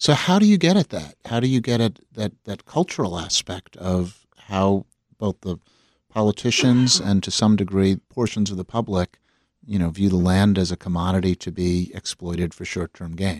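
With an American accent, a plain, everyday voice moves at a moderate pace with ordinary pitch variation, in a dry, close sound with no echo over a very clean recording with a silent background. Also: man, fairly low pitch for a man. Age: 50s. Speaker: podcast host, former mayor. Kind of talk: interview.

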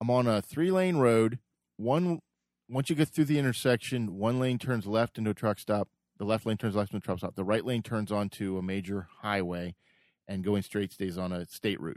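In a plain, everyday voice, a man speaks at a moderate pace with fairly low pitch and ordinary pitch variation, recorded very cleanly against a silent background with a dry, close sound and no echo. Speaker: podcast co-host. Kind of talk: casual political debate.

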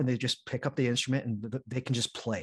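The sound is dry and close, with no echo. A man with a medium pitch speaks fairly quickly in a somewhat breathy voice. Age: 30s. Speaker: podcast host guest. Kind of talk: casual chat.

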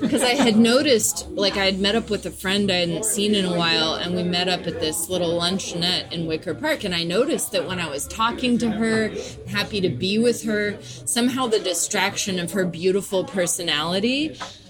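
With hardly any pauses, a woman talks at a fairly quick pace and with lively intonation over noticeable background noise. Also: medium pitch for a woman. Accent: American. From US South, Nashville, Tennessee. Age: 30s. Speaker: poet. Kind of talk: casual chat.

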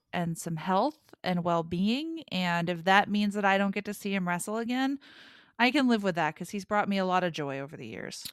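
A woman speaks in an ordinary speaking voice at a medium pitch and a moderate pace, her intonation lively. The recording is very clean, with a silent background. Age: 40s. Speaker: wrestling podcast co-host. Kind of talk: casual chat.

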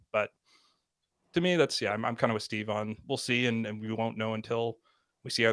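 The man speaks at a fairly low pitch. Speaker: podcast co-host. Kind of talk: casual chat. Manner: casual, unprojected delivery.

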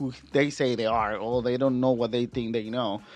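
A man at medium pitch, moderate pace and flat, monotone intonation. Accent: Spanish. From Mexico, Guadalajara. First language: Spanish. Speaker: musician. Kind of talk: casual chat. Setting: studio.

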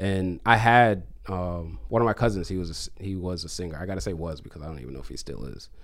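Talking at a very fast pace, a man with a very deep, low voice uses ordinary pitch variation and big swings in loudness. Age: 30s. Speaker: DJ and music producer. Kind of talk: casual chat. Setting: studio.

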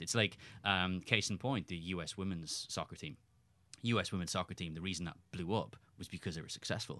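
This man speaks in an Irish accent with a very deep, low pitch and a bright, sharp tone. His pace is fairly quick against a quiet background. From Ireland. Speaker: soccer journalist. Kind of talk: casual chat. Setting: studio.

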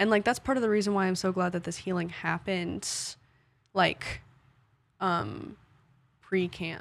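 A woman at a moderate pace, with long, frequent pauses, on a very clean recording against a silent background. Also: medium pitch for a woman, ordinary pitch variation. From Fort Worth, Texas. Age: young. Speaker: university student. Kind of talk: casual chat.

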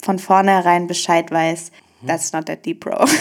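The recording of the woman is very clean, with a silent background. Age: 20s. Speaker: single sharing her dating story. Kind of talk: casual interview.

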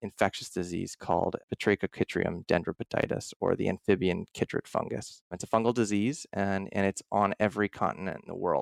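A man with a normal speaking voice and an American accent talks at a fairly quick pace, fairly low in pitch with fairly even intonation. The recording is very clean, with a silent background and a dry, close sound with no echo. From US Northeast, Philadelphia area. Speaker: graduate student scientist. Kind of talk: casual interview.

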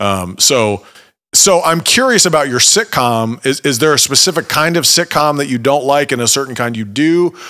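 A man with an American accent and a normal speaking voice, fairly high in pitch, with lively intonation and a moderate pace. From Ohio, US Midwest. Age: 30s. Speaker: podcast host and musician. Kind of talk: casual chat; scripted narration.

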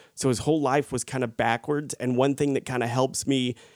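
With a Southern US accent, a man talks at a medium pitch and fairly even intonation in a dry, close sound with no echo. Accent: noticeable Southern US. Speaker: actor, podcast co-host. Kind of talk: casual chat.

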